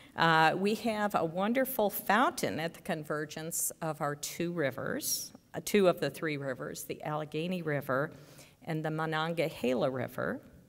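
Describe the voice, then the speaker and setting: A woman with an American accent, very deep and low in pitch, at a moderate pace with lively intonation. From US Midwest, Chicago. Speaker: speech and debate coach, math teacher. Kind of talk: ceremony welcome speech. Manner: hesitant, many fillers.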